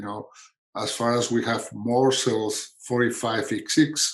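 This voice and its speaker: A man talks with a Spanish accent. His intonation is fairly even. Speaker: pediatric endocrinologist. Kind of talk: webinar panel discussion. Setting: online webinar. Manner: hesitant, with fillers.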